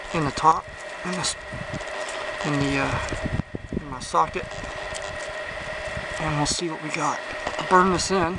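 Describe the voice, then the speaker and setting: A man at a moderate pace with long, frequent pauses over loud background noise. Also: dry sound with no echo. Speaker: bushcraft demonstrator. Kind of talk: tutorial. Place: street.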